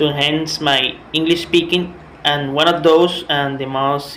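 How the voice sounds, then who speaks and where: Over noticeable background noise and audible room echo, a man talks at a very slow pace. His pitch is fairly high and his intonation fairly even. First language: Spanish. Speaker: language student. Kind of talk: class presentation. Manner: halting, with repetitions and fillers.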